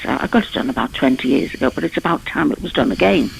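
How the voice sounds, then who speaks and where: A woman talks over noticeable background noise. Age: 70s. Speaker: caller. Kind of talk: phone-in call. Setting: phone call. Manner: hesitant, with many fillers.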